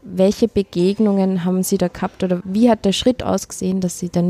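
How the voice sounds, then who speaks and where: A woman speaks at medium pitch and a moderate pace in a somewhat breathy voice with a dark, mellow tone and monotone, flat intonation, recorded dry and close with no echo. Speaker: podcast host. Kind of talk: interview. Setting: canteen.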